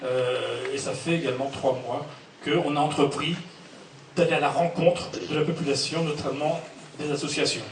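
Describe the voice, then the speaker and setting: A man with a fairly high pitch and monotone, flat intonation at a moderate pace, long, frequent pauses, audible room echo and noticeable background noise. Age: 60s. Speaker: local election candidate, list leader. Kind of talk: public meeting speech. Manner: halting, many hesitations.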